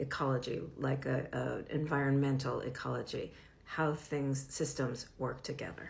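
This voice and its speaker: A woman speaks at a moderate pace with a very deep, low pitch and a somewhat breathy quality. Her intonation stays monotone and flat, and the room echo is audible. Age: 60s. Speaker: professor and media literacy educator. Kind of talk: direct-to-camera advocacy talk.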